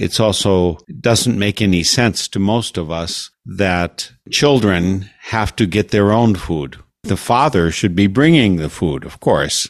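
A man speaks in a normal speaking voice with a General American accent. His pace is fairly slow, with ordinary pitch variation. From United States. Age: 60s. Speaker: radio host. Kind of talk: interview. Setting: video call.

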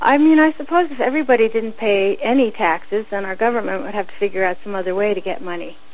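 Speaking very fast with hardly any pauses, a woman uses lively intonation and an American accent. Her pitch is fairly high, and background noise is noticeable. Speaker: war tax resister. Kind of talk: casual interview.

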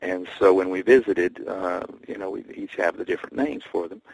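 A man with a Tennessee accent speaks at a moderate pace. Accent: Tennessee Southern US, moderate. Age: 60s. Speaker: singer-songwriter. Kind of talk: casual interview chat.

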